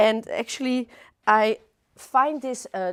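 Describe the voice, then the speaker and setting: A woman speaks in a Dutch accent. The recording is very clean and dry, close with no echo and a silent background. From Netherlands. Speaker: florist teacher. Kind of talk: live demonstration tutorial. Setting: livestream studio. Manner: hesitant, many fillers.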